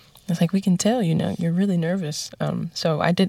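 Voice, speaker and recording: A woman speaks with an American accent at a fairly quick pace, in a dark, mellow, somewhat breathy tone. Her intonation is fairly even, and the sound is dry and close with no echo. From New York. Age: 20s. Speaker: jazz singer. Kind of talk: interview. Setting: studio.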